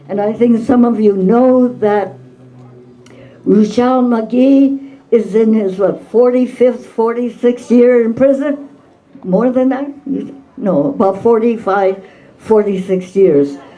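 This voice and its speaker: Against noticeable background noise, a woman speaks very slowly at a fairly high pitch with ordinary pitch variation. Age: 80s+. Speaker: activist and author. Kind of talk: talk at book event.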